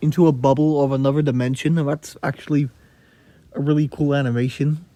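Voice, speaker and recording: A man's fairly high, dark, mellow voice at a very fast pace, flat and monotone throughout. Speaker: gaming YouTuber. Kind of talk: gameplay commentary. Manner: halting.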